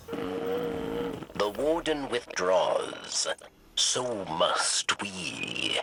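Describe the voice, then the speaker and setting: A man puts on a cartoonish character voice, fairly low in pitch. He speaks very slowly. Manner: speaks of itself in third person, clipped.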